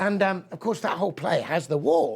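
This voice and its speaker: A man talks at a fairly quick pace with vocal fry. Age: 60s. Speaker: poet and lecturer. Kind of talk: lecture. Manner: animated.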